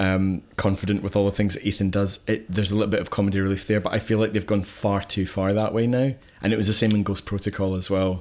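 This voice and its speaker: A man speaks at a very fast pace with hardly any pauses. His pitch is fairly low and his intonation monotone and flat. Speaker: film podcast co-host. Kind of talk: casual chat, film review podcast. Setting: recording in his kitchen.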